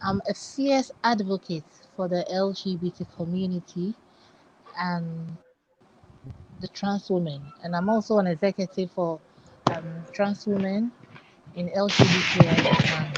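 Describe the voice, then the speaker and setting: A woman at a medium pitch, with ordinary pitch variation, a fairly slow pace, long and frequent pauses, and noticeable background noise. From Ghana. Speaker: musician and LGBT advocate. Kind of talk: panel discussion.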